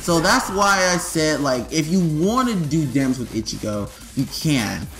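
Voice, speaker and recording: Music plays in the background as a man with a fairly high pitch speaks at a moderate pace with very wide pitch swings. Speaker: gaming YouTuber. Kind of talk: game tutorial. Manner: stuttering; casual, filler-heavy.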